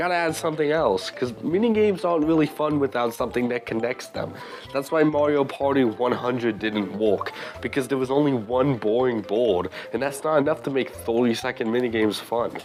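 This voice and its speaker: Backed by music in the background, a man speaks at a fairly quick pace with lively intonation. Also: medium pitch for a man. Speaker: gaming commentator. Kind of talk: casual commentary rant. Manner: animated.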